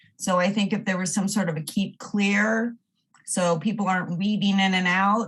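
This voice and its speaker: A woman's medium-pitched, somewhat breathy voice with ordinary pitch variation. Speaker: member of the public giving comment. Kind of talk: public comment at council meeting; reading aloud a prepared statement. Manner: halting, stumbling.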